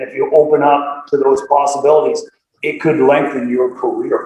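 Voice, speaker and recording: A man speaks with a Nova Scotia accent. His pace is moderate. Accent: Atlantic Canadian (Nova Scotia). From Nova Scotia, Canada (Dartmouth). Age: 60s. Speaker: karate instructor. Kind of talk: interview. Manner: animated.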